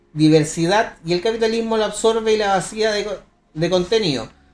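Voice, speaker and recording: The speech runs at a fairly quick pace in a Chilean accent. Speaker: streamer podcast host. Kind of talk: casual chat.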